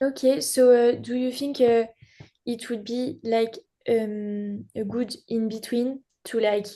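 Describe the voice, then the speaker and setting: A woman with a French accent, fairly high pitch and a dark, mellow tone, at a very slow pace with fairly even intonation. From France. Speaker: beginning live wedding painter. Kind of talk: casual group chat. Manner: halting, many fillers.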